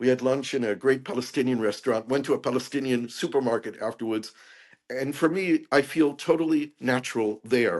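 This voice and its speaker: Against a quiet background, a man with a plain, everyday voice talks at a fairly quick pace, at medium pitch with ordinary pitch variation. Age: 60s. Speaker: peace activist and author. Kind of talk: interview conversation.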